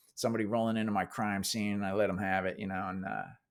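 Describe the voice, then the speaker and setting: A man talks with a New Jersey accent in a fairly low, monotone voice with flat intonation. The recording is very clean, with a silent background. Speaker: actor. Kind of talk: interview.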